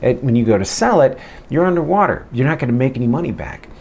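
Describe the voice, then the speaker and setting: This is a man speaking. His voice sits at a medium pitch. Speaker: real estate agent. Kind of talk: casual vlog advice.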